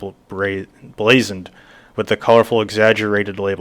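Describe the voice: Plain reading aloud throughout.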